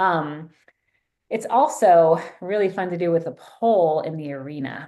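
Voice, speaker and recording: A woman's dark, mellow tone at a fairly low pitch, with an American accent and ordinary pitch variation. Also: moderate pace. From US East Coast. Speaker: therapist. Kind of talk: online training workshop.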